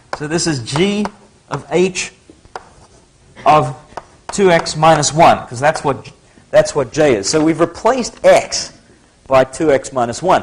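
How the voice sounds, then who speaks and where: With an American accent, a man speaks at a fairly high pitch and fairly slow pace, his intonation lively, with long, frequent pauses and noticeable background noise. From Australia, Sydney. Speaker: math lecturer. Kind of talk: lecture. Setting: lecture hall with audience. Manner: casual, conversational.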